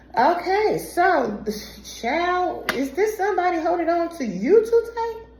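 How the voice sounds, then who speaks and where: Over noticeable background noise and audible room echo, a woman talks very slowly with very wide pitch swings. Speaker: tarot reader. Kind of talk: tarot reading. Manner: animated.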